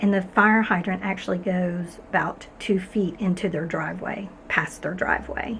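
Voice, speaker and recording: Amid noticeable background noise, a soft-spoken woman at medium pitch talks at a moderate pace with fairly even intonation. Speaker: arts and crafts YouTuber. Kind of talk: casual vlog update. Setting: garage studio.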